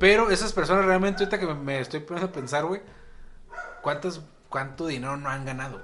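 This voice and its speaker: A man with a Mexican accent, fairly high-pitched for a man, talking at a fairly quick pace, with big swings in loudness and ordinary pitch variation. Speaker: podcast co-host. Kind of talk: casual chat.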